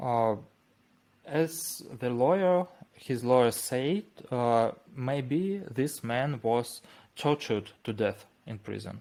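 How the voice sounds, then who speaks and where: In a Russian accent, a man speaks at a very slow pace in a dark, mellow tone, his pitch medium, with long, frequent pauses. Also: lively intonation. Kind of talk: interview. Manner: halting.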